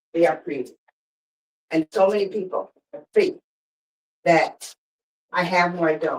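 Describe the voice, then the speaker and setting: A woman speaks at a medium pitch and a moderate pace. Her tone is animated. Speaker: motivational speaker. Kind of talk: lecture. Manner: loud.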